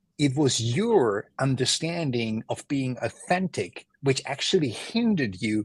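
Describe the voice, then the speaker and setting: A man speaks slowly in a somewhat breathy voice, his pitch swinging very widely. The sound is dry and close, with no echo. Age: 50s. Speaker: entrepreneur and mentor. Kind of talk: podcast interview.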